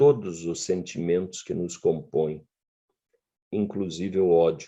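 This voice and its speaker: The pace stays fairly slow. A dark, mellow tone carries the words. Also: man. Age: 60s. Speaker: professor. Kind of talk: lecture.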